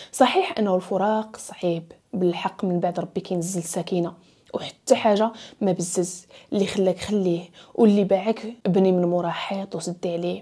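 A woman with a Moroccan accent speaks at a moderate pace in a dark, mellow tone, her intonation fairly even against a quiet background. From Morocco. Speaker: storytelling YouTuber. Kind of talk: storytelling narration; advice monologue. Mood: earnest, emotional story. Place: home room. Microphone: lapel.

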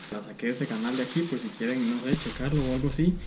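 A man talks at a very fast pace with clear music playing in the background. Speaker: home cook vlogger. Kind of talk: casual cooking vlog chat. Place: home room. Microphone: camera far.

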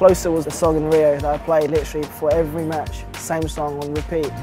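A man speaks at a moderate pace in a dry sound with no echo. Clear music plays in the background. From Britain. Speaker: wheelchair tennis player. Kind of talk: interview answer. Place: hall. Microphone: lapel.

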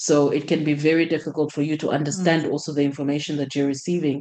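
Her voice is very deep and low, and this woman speaks with monotone, flat intonation. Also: quiet background. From Zambia. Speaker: clinical systems analyst; panellist. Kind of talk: panel discussion. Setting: video call. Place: home room. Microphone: video call.

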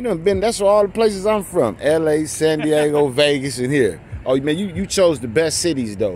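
Over light background noise, a man talks at a moderate pace with very wide pitch swings, in a dry sound with no echo. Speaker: vlogger. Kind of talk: casual vlog chat. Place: bar. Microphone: phone near.

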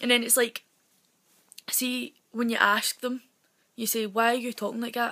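Against a quiet background, a woman talks in a fairly high pitch. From Scotland, west coast. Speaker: vlogger. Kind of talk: casual talk to camera. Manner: fast. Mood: annoyed, ranting, humorous. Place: home room. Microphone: phone near.

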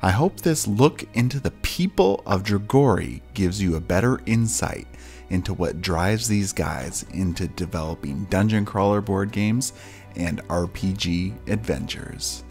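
A man's very deep, low voice with very wide pitch swings at a moderate pace, music in the background. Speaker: board game channel host and interviewer. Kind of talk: casual video intro and interview questions.

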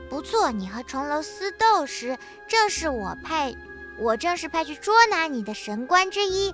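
A woman's put-on character voice at an extremely high pitch, with very wide pitch swings, a moderate pace and clear music in the background. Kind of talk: game dialogue read aloud. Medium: virtual streamer. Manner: calm, gentle, explaining.

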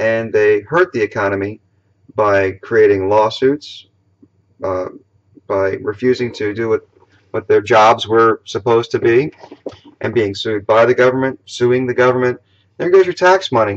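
A man speaks at a moderate pace, with long, frequent pauses. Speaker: political vlogger. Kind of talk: political commentary vlog. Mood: indignant, argumentative. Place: home room. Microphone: webcam.

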